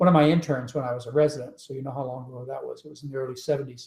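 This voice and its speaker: A very fast, somewhat breathy man's voice, fairly high in pitch, with ordinary pitch variation. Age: 60s. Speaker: physician and diet author. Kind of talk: live webinar interview. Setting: home, live webinar broadcast.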